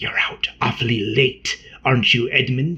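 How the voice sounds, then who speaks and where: In a put-on character voice, a man whispers, hisses and growls. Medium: read story. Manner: scornful, quick-tempered.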